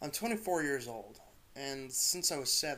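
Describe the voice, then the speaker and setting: A man talks quietly, his pitch fairly high and his intonation lively. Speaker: amateur creepypasta narrator. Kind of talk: horror story narration. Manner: quiet, a bit stuttering.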